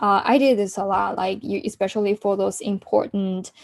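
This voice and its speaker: Recorded dry and close with no echo, a woman speaks with a dark, mellow tone. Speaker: career coach. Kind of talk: workshop talk. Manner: halting, many fillers and restarts.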